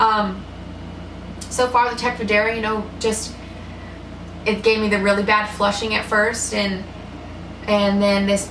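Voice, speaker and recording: A woman talks at a fairly slow pace in a medium pitch. Noticeable background noise and audible room echo surround her voice. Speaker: vlogger with multiple sclerosis. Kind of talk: personal video diary. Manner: halting.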